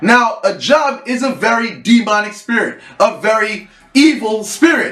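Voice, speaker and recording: Over noticeable background noise, a man with a Haitian accent speaks fairly slowly in an animated tone, at an extremely high pitch with ordinary pitch variation. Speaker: vodou priest. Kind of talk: casual monologue.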